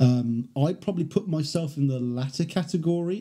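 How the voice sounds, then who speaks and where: A man with a British accent, somewhat breathy, dark and mellow in tone, with ordinary pitch variation. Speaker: podcast host. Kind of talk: casual chat.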